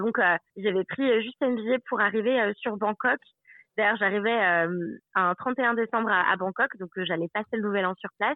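At a moderate pace, a woman speaks in an unremarkable speaking voice, fairly high in pitch, with ordinary pitch variation. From Savoie, France. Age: 30s. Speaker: expatriate traveller. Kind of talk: interview.

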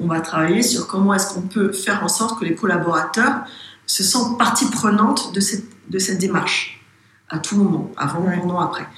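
A woman of medium pitch speaks at a moderate pace with ordinary pitch variation, with audible room echo and noticeable background noise in the recording. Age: 40s. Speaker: consultancy founder and CEO. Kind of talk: podcast interview. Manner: hesitant, many fillers and repetitions.

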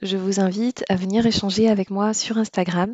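Her voice is an ordinary speaking voice, medium in pitch for a woman, delivered at a moderate pace. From Réunion. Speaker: podcast host, engineer. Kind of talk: scripted narration.

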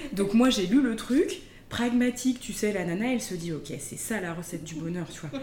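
A woman speaks with lively intonation over noticeable background noise and audible room echo. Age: 30s. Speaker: physiotherapist. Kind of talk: casual chat.

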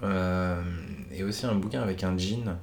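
A man with a very deep, low pitch talks over audible room echo. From Paris region, France. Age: 20s. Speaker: book reader. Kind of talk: casual chat. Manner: hesitant, many fillers.

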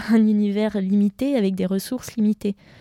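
A woman's unremarkable speaking voice, medium in pitch, at a moderate pace. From Besançon, Franche-Comté, France. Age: 20s. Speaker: tourism master's student. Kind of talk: casual chat.

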